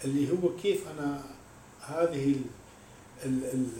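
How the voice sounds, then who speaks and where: A man of medium pitch speaks at a moderate pace with ordinary pitch variation, amid audible room echo and noticeable background noise. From Iraq. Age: 50s. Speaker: oud and violin musician and composer. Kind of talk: interview. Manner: halting.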